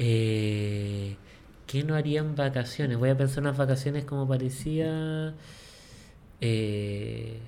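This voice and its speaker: Speech in a Chilean accent comes at a very slow pace. Long pauses occur frequently. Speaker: podcast co-host. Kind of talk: casual chat.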